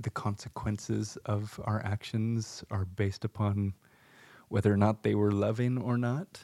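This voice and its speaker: A man's dark, mellow voice with an American accent and monotone, flat intonation, dry and close with no echo, in a very clean recording with a silent background. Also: fairly slow pace. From US West Coast (San Luis Obispo, California). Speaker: podcast co-host. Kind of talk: casual chat.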